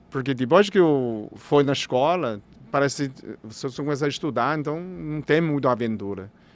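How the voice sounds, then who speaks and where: Here a man with a fairly high pitch talks at a moderate pace, his voice swinging very widely in pitch. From China. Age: 60s. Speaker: doctor of Chinese medicine. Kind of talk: podcast interview. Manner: halting.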